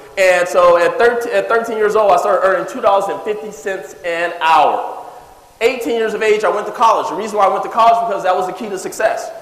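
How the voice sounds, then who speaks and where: Speaking in an American accent with an animated tone, a man talks at a moderate pace and a high pitch with ordinary pitch variation, over noticeable background noise. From California. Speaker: wealth coach. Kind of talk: seminar talk. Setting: stage with audience.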